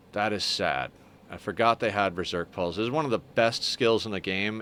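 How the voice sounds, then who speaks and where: Talking at a fairly quick pace, this man shows ordinary pitch variation. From Canada. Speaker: gaming streamer. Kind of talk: live gameplay stream chat. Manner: casual, conversational.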